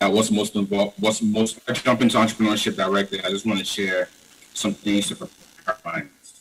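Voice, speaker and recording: There is noticeable background noise behind a man talking at a fairly quick pace. His pitch is fairly low, with ordinary variation. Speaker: entrepreneur. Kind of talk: conference talk.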